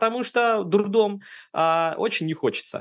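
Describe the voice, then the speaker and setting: A man with a high pitch at a moderate pace against a quiet background. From Russia, Saint Petersburg. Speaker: immigrant sharing relocation experience. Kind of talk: casual interview.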